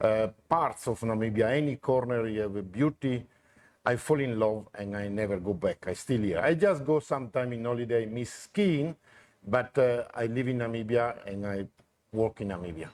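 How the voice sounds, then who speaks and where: Recorded very cleanly against a silent background, a man with an Italian accent speaks at a moderate pace and medium pitch, with ordinary pitch variation. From northern Italy, near Venice (Cortina d'Ampezzo). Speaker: lodge builder. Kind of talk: interview. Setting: live show at a venue.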